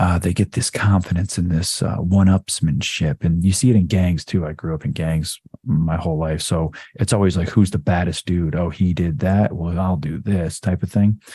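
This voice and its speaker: Somewhat breathy and dark, mellow in tone, a man speaks at a very deep, low pitch with fairly even intonation. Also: moderate pace. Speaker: metal band frontman discussing history. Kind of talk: casual chat.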